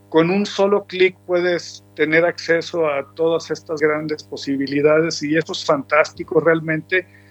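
A man's fairly high pitch at a fairly slow pace, monotone and flat, with hardly any pauses and music in the background. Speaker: musician. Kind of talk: interview.

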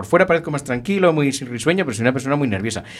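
This man talks with lively intonation. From Spain, rural inland Galicia. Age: 50s. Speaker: judge. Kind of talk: interview. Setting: radio studio, live broadcast.

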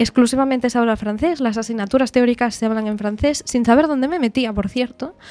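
An ordinary speaking voice, delivered with ordinary pitch variation. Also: woman. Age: 20s. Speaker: pianist and music teacher. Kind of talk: radio interview.

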